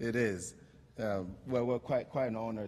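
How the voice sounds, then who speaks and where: A man speaks in a dark, mellow tone with ordinary pitch variation. Light background noise is present. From Togo, border town. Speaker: social entrepreneur, company founder. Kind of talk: award acceptance speech; acceptance speech. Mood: grateful, heartfelt. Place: hall. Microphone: podium.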